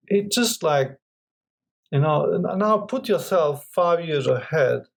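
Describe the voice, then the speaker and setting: Spoken very slowly with a non-native accent, the voice has lively intonation. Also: man, high pitch for a man. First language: not English. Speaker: crypto investment group partner. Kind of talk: casual interview. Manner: halting, many fillers.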